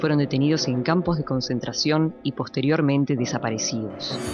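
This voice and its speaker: A woman's very deep, low voice at a moderate pace with ordinary pitch variation, music playing in the background. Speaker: narrator (voice-over). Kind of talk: documentary narration.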